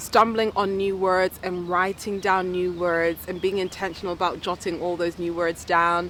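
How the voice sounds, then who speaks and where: At a moderate pace, a woman with a medium pitch talks in an ordinary speaking voice. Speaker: self-development vlogger. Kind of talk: vlog.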